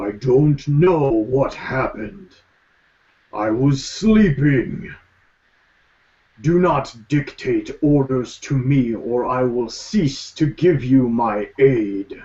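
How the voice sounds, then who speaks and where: A man does a put-on character voice at a medium pitch, speaking at a very slow pace. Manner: groggy, imperious.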